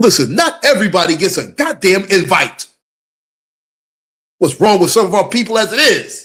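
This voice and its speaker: A man speaks in an animated tone at a high pitch, with very wide pitch swings. His pace is moderate, broken by long, frequent pauses. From USA. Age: 50s. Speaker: live streamer, commentator. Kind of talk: live stream commentary. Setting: live stream.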